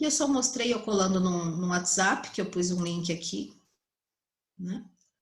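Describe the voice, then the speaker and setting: In a plain, everyday voice, the speaker goes at a fairly slow pace with lively intonation. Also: woman, medium pitch for a woman. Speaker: psychologist teaching colleagues. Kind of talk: online tutorial.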